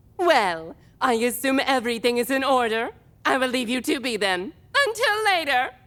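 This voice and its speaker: A female-sounding voice in a put-on character voice goes sing-song at a high pitch and a moderate pace. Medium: audio drama. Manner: eccentric sing-song inflection; exaggeratedly cheerful, theatrical.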